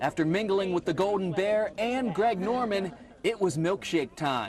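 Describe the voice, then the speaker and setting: A man talks at a fairly slow pace with lively intonation. His loudness stays very even throughout. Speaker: TV news reporter. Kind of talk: TV news reporter narration.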